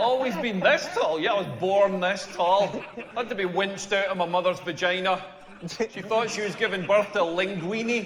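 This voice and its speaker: Noticeable background noise surrounds a man speaking with a Scottish accent at a high pitch. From rural Scotland. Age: 40s. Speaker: comedian. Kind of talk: stand-up.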